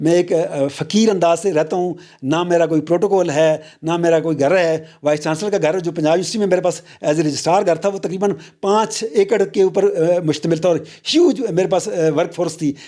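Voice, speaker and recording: The voice has a dark, mellow tone and fairly even intonation at a moderate pace, on a very clean recording with a silent background. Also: man, high pitch for a man. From Pakistan, hilly region. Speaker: university vice chancellor. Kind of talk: interview. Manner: halting, many filler sounds.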